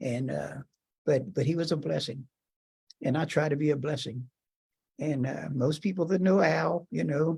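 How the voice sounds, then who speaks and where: A man talks at a moderate pace in a fairly high pitch with ordinary variation and vocal fry. He leaves long, frequent pauses. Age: 80s+. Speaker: civil rights march participant and shop owner. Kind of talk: testimony. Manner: halting.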